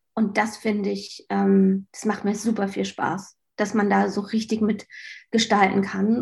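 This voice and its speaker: A woman's medium-pitched, somewhat breathy voice with a dark, mellow tone, on a very clean recording with a silent background. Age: 30s. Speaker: marketing executive at an online magazine. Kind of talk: interview.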